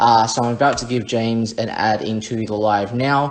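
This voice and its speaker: Speaking with an Australian accent, a man keeps a moderate pace and ordinary pitch variation. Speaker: interview show host. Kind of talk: video call interview.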